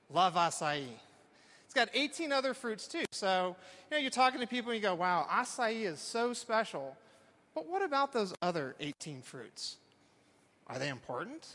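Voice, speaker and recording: A man in a Texan accent, animated and raised in a projected voice, high-pitched with very wide pitch swings, big swings in loudness, a moderate pace and long, frequent pauses. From Texas. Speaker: professor. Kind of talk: talk to a live audience.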